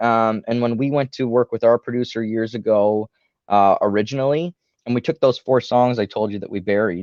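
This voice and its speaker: Over a quiet background, a man at medium pitch talks at a fairly quick pace, the sound dry and close with no echo. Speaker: rock band singer. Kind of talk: casual chat. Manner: animated.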